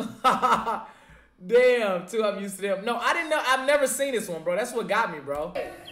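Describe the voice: The clip is plain reading aloud. Its intonation moves in a lively way.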